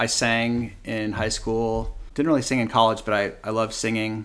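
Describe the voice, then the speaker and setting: An ordinary speaking voice with an American accent at a moderate pace, on a very clean recording with a silent background. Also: man. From US West, Palo Alto, California. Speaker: lawyer. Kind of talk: casual interview. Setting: studio with live audience.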